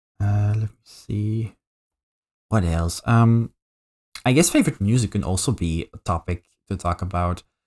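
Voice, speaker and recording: A man with a Flemish Belgian accent speaks at a fairly slow pace with a fairly low pitch and lively intonation. The recording is very clean with a silent background and a dry, close sound with no echo. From Belgium (Flemish). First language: Dutch. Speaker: VTuber streamer. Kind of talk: casual live-stream chat. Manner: halting, many fillers and repetitions.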